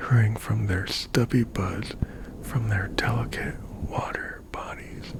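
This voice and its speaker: Whispering at a very slow pace, a man speaks over noticeable background noise. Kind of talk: poetry reading. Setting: studio, close microphone. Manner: slow, soft, half-whispered.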